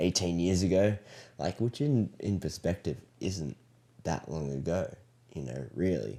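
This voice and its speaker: In an Australian accent, a man speaks with a very deep, low pitch, a dark, mellow tone and lively intonation, leaving long, frequent pauses. The recording is very clean, with a silent background. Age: 20s. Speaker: elementary school teacher. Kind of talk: casual chat. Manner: halting, many fillers.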